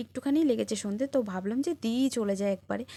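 In a very clean recording with a silent background, a woman talks with a dark, mellow tone, fairly high pitch and ordinary pitch variation. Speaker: lifestyle vlogger. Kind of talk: vlog. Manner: stutters sometimes; informal, chatty.

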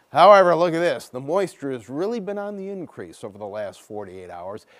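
A man speaks at a fairly quick pace with very wide pitch swings. The background is quiet. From Chicago. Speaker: TV meteorologist. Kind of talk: weather forecast. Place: studio.

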